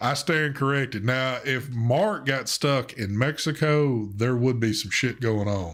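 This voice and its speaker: The speaker has a strong Southern US accent and talks at a fairly slow pace with hardly any pauses. Pitch variation is ordinary, and the recording is very clean with a silent background. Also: man, medium pitch for a man. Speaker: live stream co-host. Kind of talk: casual chat on live stream.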